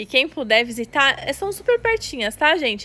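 A woman talks in a raised, projected voice. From Brazil. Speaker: children's clothing store presenter; presenter. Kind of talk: live sales stream. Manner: animated. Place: shop. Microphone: earbuds.

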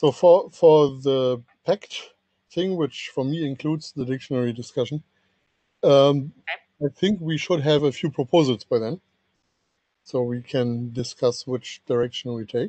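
A man with a fairly high, dark, mellow voice speaks fairly slowly, leaving long, frequent pauses. His pitch varies in an ordinary way, and the sound is dry with no echo. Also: quiet background. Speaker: standards engineer, document author. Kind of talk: technical working group meeting. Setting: video call. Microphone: video call.

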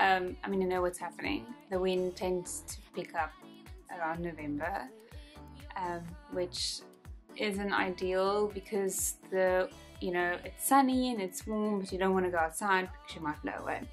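Faint music sits in the background as a woman speaks with long, frequent pauses. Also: ordinary pitch variation, moderate pace. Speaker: beauty vlogger. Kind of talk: casual vlog chat. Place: home room.

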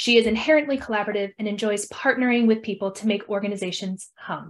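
A somewhat breathy woman at a fairly quick pace, over a quiet background. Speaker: event host. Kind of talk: speaker introduction. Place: home room. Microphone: webcam.

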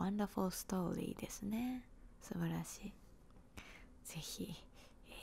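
A woman's dark, mellow tone carries vocal fry, with light background noise behind her. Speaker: storyteller. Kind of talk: storybook reading, soft ASMR-style. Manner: soft close-mic whisper. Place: home room. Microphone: handheld.

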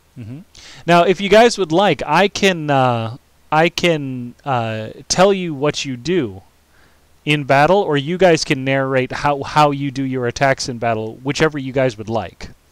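A man with an American accent has a plain, everyday voice at fairly high pitch. He talks at a fairly slow pace with lively intonation. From United States. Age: 30s. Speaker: streamer and game master. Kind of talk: live-streamed tabletop game narration. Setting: live stream.

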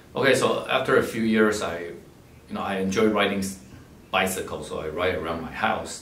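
Against light background noise and audible room echo, a man speaks at a moderate pace with big swings in loudness. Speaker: philanthropist and scholarship donor, MBA graduate. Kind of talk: personal talk about life story and advice. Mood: calm, reflective storytelling. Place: office.

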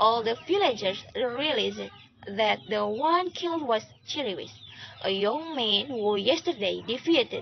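With lively intonation, the passage is given plain reading aloud.

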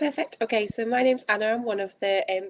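A woman talking at a fairly quick pace. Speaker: presenter. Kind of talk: webinar presentation. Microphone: video call.

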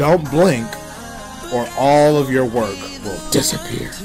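A man's medium-pitched voice at a fairly slow pace, with ordinary pitch variation and music in the background. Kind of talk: comedic parody makeup tutorial voiceover. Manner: joking, casual.

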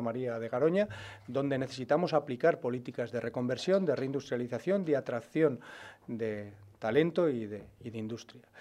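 A man's dark, mellow voice carries ordinary pitch variation. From Spain, Burgos (Castilla y León); Castilla y León, Spain. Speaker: regional party leader, politician; politician. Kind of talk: press conference. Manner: halting, many fillers and repetitions. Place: meeting room. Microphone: podium.

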